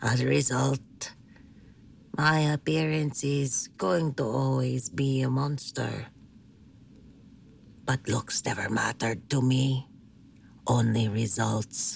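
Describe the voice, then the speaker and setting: A put-on character voice sits at a low-to-middle pitch, moving at a fairly slow pace with long, frequent pauses. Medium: audio drama. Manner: blunt, tough.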